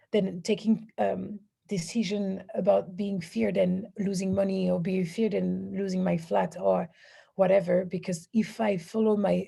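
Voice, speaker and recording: A woman with a French accent speaks at a fairly slow pace and medium pitch. Her somewhat breathy voice has a dark, mellow tone and fairly even intonation. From southern France. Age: 30s. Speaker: women's empowerment coach. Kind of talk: interview. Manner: halting, many fillers and restarts.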